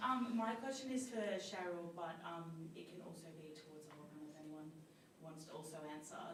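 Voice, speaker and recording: A woman with a fairly low pitch speaks with lively intonation and big swings in loudness. Room echo is audible, along with noticeable background noise. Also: moderate pace. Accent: Australian. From Australia. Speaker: student, audience member. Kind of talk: audience question. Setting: audience at panel, no microphone. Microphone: no microphone.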